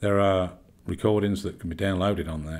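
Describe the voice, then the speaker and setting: In a London accent, a man speaks at a moderate pace. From London, England. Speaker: medium and healer. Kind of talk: self-introduction to camera. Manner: hesitant, many fillers and repeats.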